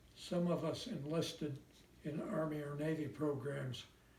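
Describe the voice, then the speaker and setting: A man's fairly high voice with a Midwestern American accent, fairly even intonation and audible room echo. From US Midwest, Indiana. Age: 90s. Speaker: war veteran. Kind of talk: personal letter read aloud.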